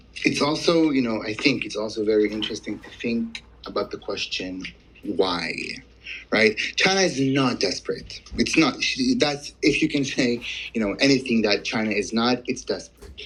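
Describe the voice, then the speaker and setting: Speaking with a non-native accent, a man moves at a moderate pace, his intonation lively and his loudness swinging widely. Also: medium pitch for a man. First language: not English. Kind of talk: casual chat. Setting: audio chat room.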